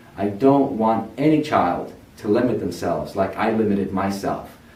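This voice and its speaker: A man's voice at medium pitch with ordinary pitch variation, in audible room echo. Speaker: tutoring center founder. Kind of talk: personal testimony. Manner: earnest, encouraging.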